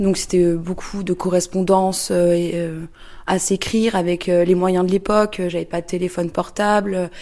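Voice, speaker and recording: At a moderate pace, a woman talks in a medium pitch with a dark, mellow tone and monotone, flat intonation. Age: 30s. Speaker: interviewee. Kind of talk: testimony. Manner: halting, many hesitations.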